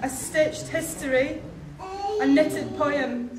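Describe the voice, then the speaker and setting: With noticeable background noise behind her, a woman talks at a fairly slow pace and a high pitch. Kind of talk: speech. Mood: warm, slightly nervous. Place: hall.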